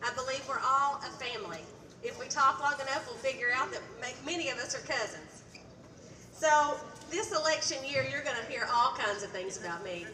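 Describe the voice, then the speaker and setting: A woman with an Appalachian accent speaks at a moderate pace in a high, raised and projected voice with lively intonation. Room echo is audible and background noise is noticeable. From Eastern Kentucky. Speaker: state legislator, candidate. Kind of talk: stump speech.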